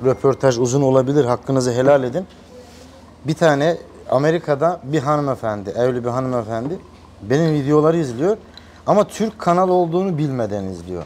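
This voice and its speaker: The voice is an unremarkable speaking voice. It moves at a fairly quick pace with lively intonation. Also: man, fairly high pitch for a man. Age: 30s. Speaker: massage youtuber. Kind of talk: interview.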